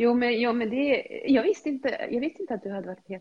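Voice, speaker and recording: This woman talks at a fairly quick clip in a high voice with lively intonation. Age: 50s. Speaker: health and fitness coach. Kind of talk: casual chat. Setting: video call.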